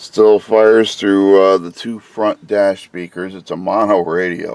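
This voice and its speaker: A man speaks at a fairly slow pace. His voice is very deep and low. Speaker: car audio reviewer. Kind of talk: tutorial. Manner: casual, hesitant.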